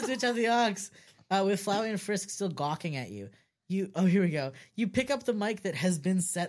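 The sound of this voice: A quiet background behind an unforced reading voice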